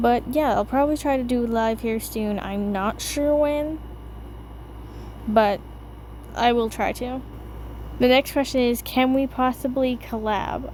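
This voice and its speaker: The speaker mumbles at a fairly slow pace, with long, frequent pauses and fairly even intonation. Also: woman, fairly high pitch for a woman. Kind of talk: casual Q&A voiceover. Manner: mumbled.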